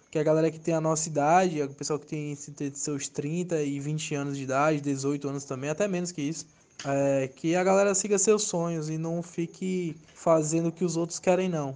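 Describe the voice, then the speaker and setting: A normal speaking voice with fairly even intonation, moving at a moderate pace. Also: man, fairly high pitch for a man. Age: 20s. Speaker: tattoo artist. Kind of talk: testimony.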